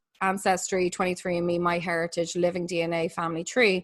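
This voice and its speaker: A woman with an Irish accent, medium in pitch and bright, sharp in tone, against a quiet background. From Ireland. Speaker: forensic genealogist. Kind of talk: podcast interview.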